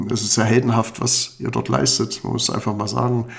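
Audible noise fills the background. Over it, a male voice talks. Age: 50s. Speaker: mayor and political candidate. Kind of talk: campaign monologue. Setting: studio. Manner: earnest, with filler hesitations.

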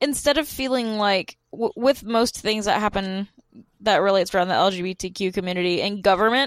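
A woman with an unremarkable speaking voice and medium pitch talks at a fairly quick pace with ordinary pitch variation, the sound dry and close with no echo. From US South, Georgia. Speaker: podcast host. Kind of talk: casual chat.

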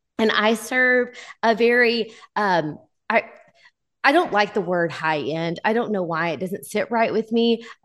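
A woman speaks with a Texas accent at a fairly slow pace. The background is quiet. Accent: Southern US (Texas). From US South, Texarkana, Texas. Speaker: photographer and educator. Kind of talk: interview.

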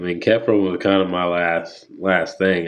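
A man with a Texan accent talks at a very deep, low pitch. His intonation stays monotone and flat. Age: 20s. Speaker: professional rodeo tie-down roper. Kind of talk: casual interview chat.

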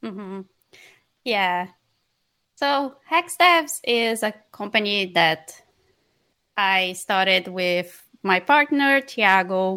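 In a Portuguese accent, a woman with a bright, sharp tone and medium pitch talks at a very slow pace, her intonation lively and broken by long, frequent pauses. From northeast Brazil (Maranhão). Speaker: software developer, company co-founder. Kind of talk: interview.

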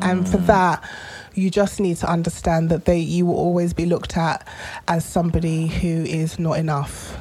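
A woman with a London accent, fairly low in pitch, with monotone, flat intonation. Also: moderate pace. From London, Tottenham. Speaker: podcast co-host. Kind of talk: casual chat.

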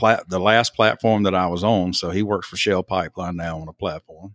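A man speaks at a very deep, low pitch in an Alabama accent with fairly even intonation. The sound is dry and close with no echo, on a very clean recording with a silent background. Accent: Southern US (Alabama). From US South, southern Alabama. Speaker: church member, former pipeline electrician. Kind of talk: casual interview. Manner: halting, many fillers.

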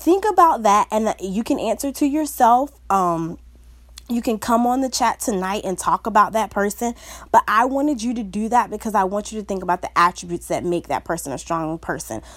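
A woman's fairly high, upbeat voice with lively intonation at a fairly quick pace, in a very clean recording with a silent background. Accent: Southern US. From US South. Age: 20s. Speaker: podcast host and motivational speaker. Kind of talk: solo motivational podcast talk. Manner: casual, chatty and upbeat.

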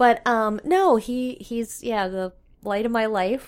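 With a Canadian Prairie accent, a woman speaks at a fairly slow pace in a fairly high pitch, her intonation lively, over a silent background in a very clean recording. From Saskatchewan, Canada. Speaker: curling club communications director. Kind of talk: casual interview. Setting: curling club.

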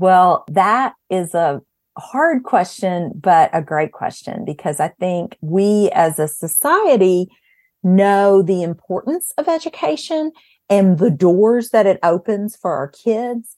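At a very slow pace and medium pitch, a woman speaks with lively intonation in a dry, close sound with no echo and a quiet background. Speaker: education executive, former school principal. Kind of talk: interview.

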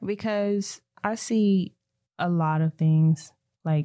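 This woman has a fairly low pitch and a dark, mellow tone. Her intonation stays fairly even. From Alabama, US South (Anniston). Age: 20s. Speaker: singer and songwriter. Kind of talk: casual interview chat.

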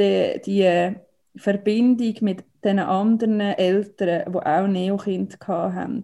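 A woman speaks at a very slow pace in a Swiss accent, her medium-pitched voice dark and mellow, her intonation flat and monotone. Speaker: mother of premature twins. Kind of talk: personal testimony.

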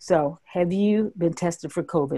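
A woman's somewhat breathy voice, fairly low in pitch, with lively intonation and a dark, mellow tone. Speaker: emergency physician and health coach. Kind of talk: informative medical explanation.

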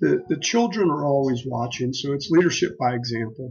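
A man with an American accent talks at a moderate pace in a normal speaking voice of medium pitch. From western Pennsylvania. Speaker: business executive and former Marine officer. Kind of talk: interview.

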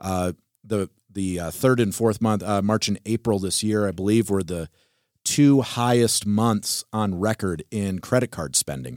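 Captured with a dry, close sound and no echo, a man with an American accent talks in an ordinary speaking voice. His pitch is fairly low with ordinary pitch variation, and his pace is fairly slow. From Wisconsin, US. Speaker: podcast co-host and church elder. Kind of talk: casual theological discussion.

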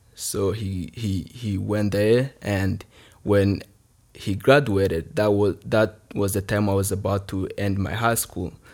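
A man with a Rwandan accent, very slow, fairly low-pitched and fairly even in intonation, on a very clean recording with a silent background. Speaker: youth village alumnus and leader.

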